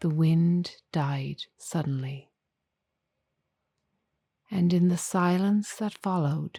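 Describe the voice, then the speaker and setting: In an Irish accent, the speaker is soft-spoken with a calm tone. The delivery is very slow, with long, frequent pauses. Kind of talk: sleep story. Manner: soft-spoken, calm, slow.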